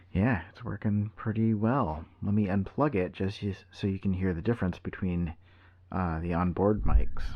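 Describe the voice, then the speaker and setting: A man with a fairly low pitch talks quietly at a moderate pace, with ordinary pitch variation. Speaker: tech reviewer. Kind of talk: product review.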